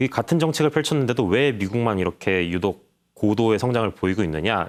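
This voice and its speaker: A man's fairly low voice at a fairly quick pace, with very wide pitch swings, on a very clean recording with a silent background. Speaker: newspaper reporter. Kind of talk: interview.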